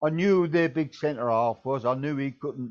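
Speaking at a fairly slow pace with an ordinary amount of pitch variation, a man with a southeast English accent has a fairly high voice. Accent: south-east English. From Kent, England. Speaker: former football manager. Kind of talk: casual chat. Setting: video call.

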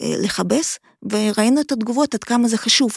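A woman speaks at a moderate pace with a fairly high pitch and ordinary pitch variation. The sound is dry and close, with no echo. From Ukraine, Kharkiv. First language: Russian/Ukrainian (speaking Hebrew). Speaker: migration researcher, academic. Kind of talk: interview.

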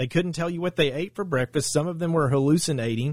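Recorded very cleanly against a silent background, a man speaks in an Arkansas accent. His pitch is fairly high, with ordinary variation. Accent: Southern US (Arkansas). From Arkansas, Saline County. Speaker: attorney. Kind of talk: interview.

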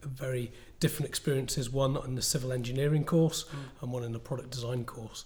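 Man at a fairly quick pace, medium in pitch and somewhat breathy. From northwest England. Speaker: entrepreneur and product designer. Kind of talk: interview.

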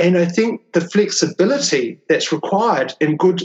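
A man talks with a New Zealand accent. His pitch is high and his pace is moderate. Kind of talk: interview conversation.

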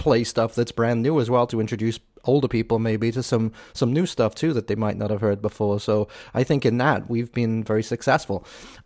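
Heard dry and close with no echo, a man in a Liverpool accent talks at a fairly quick pace, medium pitch, and fairly even intonation. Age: 50s. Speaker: podcast host. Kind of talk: casual chat. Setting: video call.

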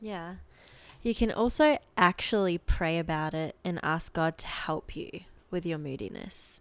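A fairly low-pitched woman with an Australian accent, fairly slow, with ordinary pitch variation and big swings in loudness, on a very clean recording with a silent background. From Australia (Adelaide). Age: young. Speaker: university student. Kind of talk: casual chat.

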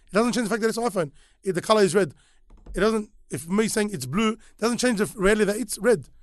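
Against a quiet background, a man with a high voice talks at a very fast pace yet leaves long, frequent pauses. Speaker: Islamic sheikh giving a lesson. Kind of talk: religious lecture and discussion. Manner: very fast talker.

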